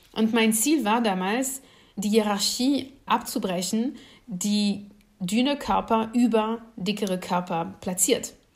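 A woman's somewhat breathy, fairly high voice at a very slow pace, with ordinary pitch variation and audible room echo. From France. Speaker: political scientist. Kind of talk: lecture.

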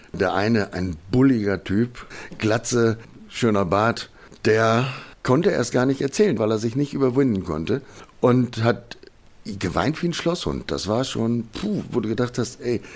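A man speaks at a fairly slow pace in a plain, everyday voice. His medium-pitched delivery has lively intonation. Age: 50s. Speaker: crime victim, professional driver. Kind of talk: testimony.

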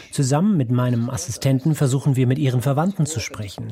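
The voice is somewhat breathy. It moves at a fairly quick pace with lively intonation. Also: man. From Ukraine. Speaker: doctor, psychiatrist. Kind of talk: interview testimony (German voice-over). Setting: video call from his kitchen.

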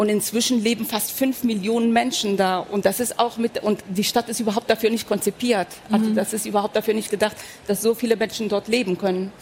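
The delivery comes at a fairly quick pace in a flat monotone. Background noise is noticeable throughout. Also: woman, fairly high pitch for a woman. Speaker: author. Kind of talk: panel discussion.

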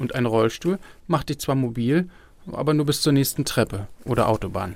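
At a moderate pace, a man talks in a medium pitch with a plain, everyday voice. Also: very clean recording, silent background. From Berlin. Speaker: radio reporter. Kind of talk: narrated radio feature.

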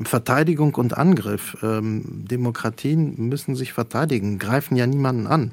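A man with a Polish accent speaks fairly slowly at a medium pitch. He leaves hardly any pauses. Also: ordinary pitch variation. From Poland. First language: Polish (speaking German). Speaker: cultural manager and journalist. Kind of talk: radio interview. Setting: remote line from a university radio studio.

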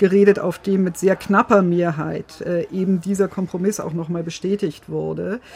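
At a moderate pace, a woman speaks with a medium pitch, a somewhat breathy quality and fairly even intonation. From Bavaria, Germany. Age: 50s. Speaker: legal and political correspondent. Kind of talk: casual chat. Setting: studio.

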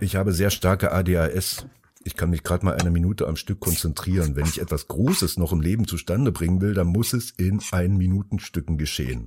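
A man's very deep, low voice with a dark, mellow tone at a moderate pace, dry and close with no echo, on a very clean recording with a silent background. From Germany, Taunus near Frankfurt. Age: 50s. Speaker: artist. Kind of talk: monologue. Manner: loud.

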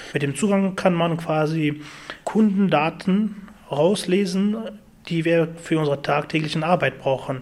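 Noticeable background noise accompanies a man whose fairly high voice keeps a fairly even intonation. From Afghanistan. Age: 20s. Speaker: IT technician. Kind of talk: interview.

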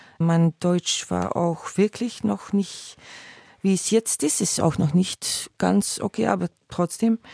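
Very slowly, a woman with a dark, mellow tone speaks at a fairly low pitch with ordinary pitch variation, in a dry, close sound with no echo on a very clean recording with a silent background. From Belgium (Flemish). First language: Dutch (speaking German). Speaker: stage actress. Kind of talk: interview.

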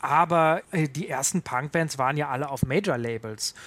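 In a very clean recording with a silent background, a man with a normal speaking voice and a fairly high pitch talks at a moderate pace. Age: 30s. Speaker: punk music expert. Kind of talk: interview.

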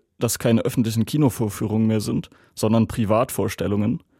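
A man speaks at a medium pitch with a dark, mellow tone. The sound is dry and close, with no echo. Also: very clean recording, silent background. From Germany. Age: 20s. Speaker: student and German language teacher. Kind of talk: interview testimony.

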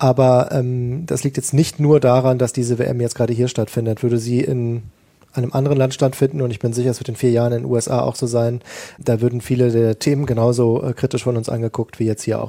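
A man talks at a fairly quick pace and medium pitch. His tone is dark and mellow, his intonation monotone and flat. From Germany, Ruhr area. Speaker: sports reporter. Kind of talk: panel discussion. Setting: remote link from Qatar.

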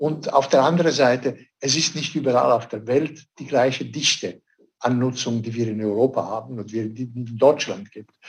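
Somewhat breathy and medium in pitch, a man speaks at a moderate pace with ordinary pitch variation and big swings in loudness. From Switzerland. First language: not German (speaking German). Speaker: director of a conservation organisation. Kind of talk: radio interview.

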